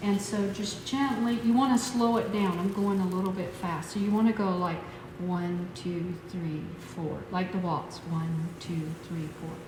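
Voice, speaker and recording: A woman at a medium pitch and a fairly slow pace, with audible room echo and noticeable background noise. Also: ordinary pitch variation. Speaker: massage instructor. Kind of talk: tutorial.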